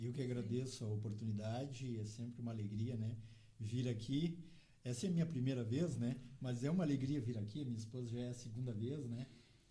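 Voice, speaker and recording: A man with a somewhat breathy, dark and mellow voice at medium pitch talks at a fairly quick pace with ordinary pitch variation, and room echo is audible. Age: 60s. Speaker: motorcycle traveller. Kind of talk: interview chat.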